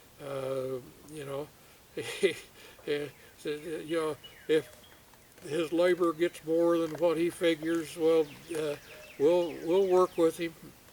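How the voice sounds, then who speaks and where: Over noticeable background noise, a man speaks at a high pitch and a very slow pace, with big swings in loudness and long, frequent pauses. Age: old. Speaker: storyteller. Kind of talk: casual storytelling to camera. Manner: hesitant, rambling, many filler words.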